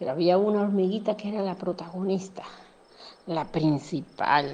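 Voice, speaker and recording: At a fairly slow pace, a woman speaks with a medium pitch, a dark, mellow tone and fairly even intonation. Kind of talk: children's bedtime story narration.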